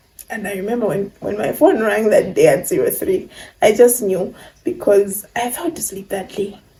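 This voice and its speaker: A woman's intonation moves in a lively way while noticeable noise sits in the background. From Zambia. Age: 20s. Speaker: YouTuber. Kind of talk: casual talk to camera.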